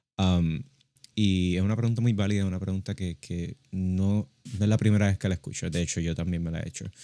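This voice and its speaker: On a very clean recording with a silent background, a man with a very deep, low pitch and a dark, mellow tone speaks at a fairly quick pace with fairly even intonation. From Puerto Rico. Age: young. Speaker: podcast co-host. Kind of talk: casual religious discussion.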